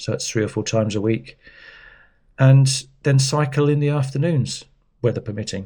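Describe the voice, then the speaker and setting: There is a man speaking at a moderate pace, somewhat breathy. The recording is very clean, with a silent background. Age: 60s. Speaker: cycling vlogger. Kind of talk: casual chat. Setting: indoors at home. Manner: rambling, hesitant.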